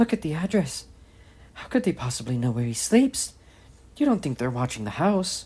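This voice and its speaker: This man uses a put-on character voice that is shaky and fairly high-pitched, with very wide pitch swings. He talks at a moderate pace, leaving long, frequent pauses. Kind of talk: hushed, urgent. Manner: nervous, fearful.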